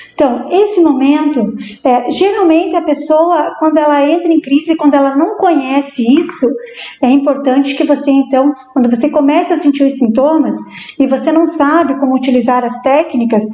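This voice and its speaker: Noticeable background noise sits under a woman's high-pitched voice. She keeps a moderate pace, very even loudness and ordinary pitch variation. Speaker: psychologist. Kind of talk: interview on live stream. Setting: live stream. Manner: halting.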